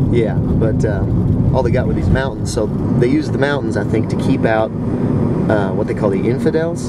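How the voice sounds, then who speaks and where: Over loud background noise, a man talks at a fairly quick pace with ordinary pitch variation. The sound is dry, with no echo. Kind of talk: casual banter. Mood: joking, sarcastic. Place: car. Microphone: phone near.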